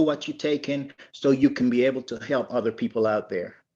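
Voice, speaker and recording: A man with a plain, everyday voice, ordinary pitch variation and a moderate pace against a quiet background. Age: 60s. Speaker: network marketing distributor, military veteran. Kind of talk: testimony.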